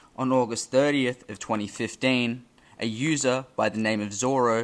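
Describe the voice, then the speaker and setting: This man uses a normal speaking voice, keeping a moderate pace and fairly even intonation. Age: young. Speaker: history YouTuber. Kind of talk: scripted narration.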